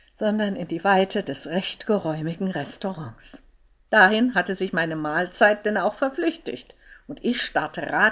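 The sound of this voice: The voice is an unforced reading voice. Its pitch varies in an ordinary way.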